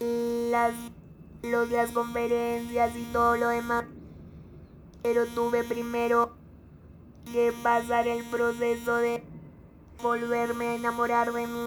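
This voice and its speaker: A woman with a fairly high voice talks at a very slow pace, leaving long, frequent pauses. Her intonation stays flat and monotone. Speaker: motivational coach and speaker. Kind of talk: casual chat.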